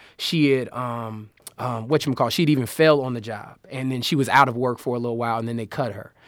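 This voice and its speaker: At a very fast pace, a man talks at a medium pitch with fairly even intonation. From US Midwest, Chicago (south side). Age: 20s. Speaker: podcast guest, creative. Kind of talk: casual interview chat. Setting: studio.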